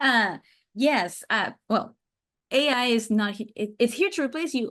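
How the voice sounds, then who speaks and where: This woman speaks with a Spanish accent at a fairly slow pace. Her intonation is lively. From Mexico City, Mexico. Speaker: sales systems and AI chatbot consultant. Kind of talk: podcast interview.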